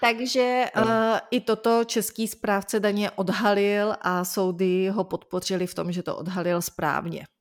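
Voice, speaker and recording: At a fairly slow pace and with hardly any pauses, a woman talks in a normal speaking voice with fairly even intonation. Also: medium pitch for a woman, very clean recording, silent background. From Czech Republic. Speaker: lawyer, legal news podcast co-host. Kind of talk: conversational legal news discussion.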